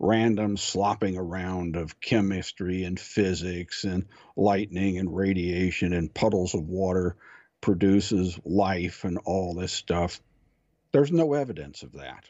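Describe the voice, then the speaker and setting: At a fairly slow pace, a man talks in a normal speaking voice with a fairly low pitch. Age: 60s. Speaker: guest, electronics technician, amateur theology and science talker. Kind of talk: conversational interview on religion and science.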